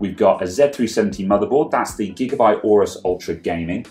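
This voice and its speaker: A man at a fairly quick pace, with faint music in the background. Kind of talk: tutorial. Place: workshop.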